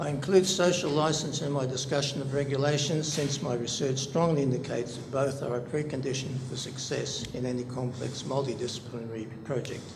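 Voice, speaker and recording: A man with an Australian accent, medium pitch, fairly even intonation and a moderate pace, with audible room echo and noticeable background noise. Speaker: public hearing submitter, researcher. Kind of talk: formal submission, reading a paper aloud with ad libs. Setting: public inquiry hearing. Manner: formal.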